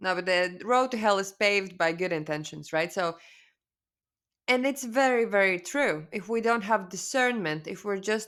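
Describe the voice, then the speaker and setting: In a Latvian accent, a woman talks at a medium pitch. Her pace is moderate and her pitch variation ordinary. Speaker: spiritual coach. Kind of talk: webinar presentation. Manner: casual, halting with fillers.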